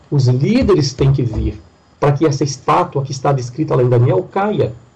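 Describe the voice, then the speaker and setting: A man with a fairly high pitch talks at a moderate pace with ordinary pitch variation. He has an ordinary speaking voice. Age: 40s. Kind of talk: preaching-style interview talk.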